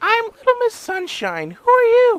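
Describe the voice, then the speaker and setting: Squeaky and extremely high, the put-on character voice moves at a moderate pace. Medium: read story. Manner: bright, chirpy.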